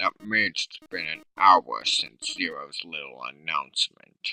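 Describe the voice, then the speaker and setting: Fairly slow delivery from a man in a put-on character voice. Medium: read story.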